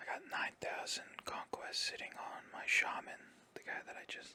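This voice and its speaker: A man whispers at a fairly slow pace. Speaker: ASMR gaming streamer. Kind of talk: casual gameplay commentary. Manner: whispered, soft-spoken.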